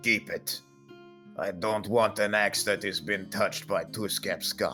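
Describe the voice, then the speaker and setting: A man's put-on character voice, fairly low and fairly slow, with clear music in the background. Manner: sneering, contemptuous, disdainful.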